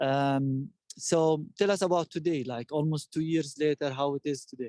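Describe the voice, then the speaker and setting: Dark and mellow in tone, a man speaks at a fairly high pitch and a moderate pace with fairly even intonation, the sound dry and close with no echo. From Palestine, Bethlehem. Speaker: tour guide. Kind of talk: live guided tour interview.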